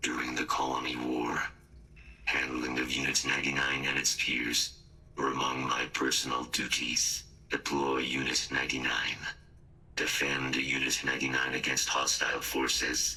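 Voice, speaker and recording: A put-on character voice at a moderate pace, with clear background noise. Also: man, very deep, low pitch for a man. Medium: machinima. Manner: clipped, formal, mechanical.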